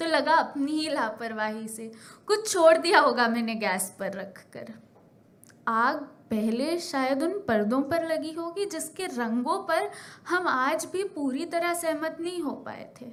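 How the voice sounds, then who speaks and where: A woman's high voice with very wide pitch swings and big swings in loudness. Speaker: spoken word poet. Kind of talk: spoken word poetry performance. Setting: live stage.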